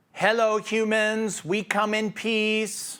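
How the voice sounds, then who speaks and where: In a put-on, robotic character voice, a man speaks very slowly in a flat monotone, pitched high for a man. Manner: mechanical, even pitch.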